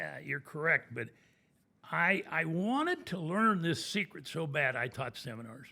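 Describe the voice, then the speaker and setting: On a very clean recording with a silent background, a man with a fairly high pitch, a bright, sharp tone and vocal fry talks at a fairly slow pace with lively intonation. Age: 80s+. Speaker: commercial real estate broker. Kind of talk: podcast interview.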